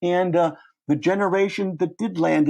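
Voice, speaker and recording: A man speaks with a Midwestern accent at a moderate pace, his tone dark and mellow. The background is quiet. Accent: American Midwest. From US Midwest, Cleveland. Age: 70s. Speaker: professor. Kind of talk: interview.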